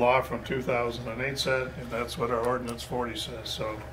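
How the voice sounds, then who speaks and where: Noticeable background noise accompanies a man speaking in a monotone, flat intonation. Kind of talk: meeting chairing and explanation. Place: meeting room.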